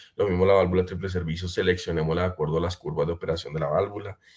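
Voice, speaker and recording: Against a quiet background, a man with a very deep, low pitch speaks somewhat breathily at a very fast pace. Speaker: pump brand representative. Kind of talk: webinar presentation. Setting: online webinar.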